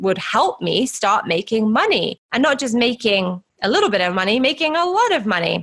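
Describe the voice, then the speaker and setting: In a British accent, a woman talks at a moderate pace with a fairly high pitch, a bright, sharp tone and very wide pitch swings. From UK. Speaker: podcast host and money mindset coach. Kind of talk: personal storytelling podcast monologue.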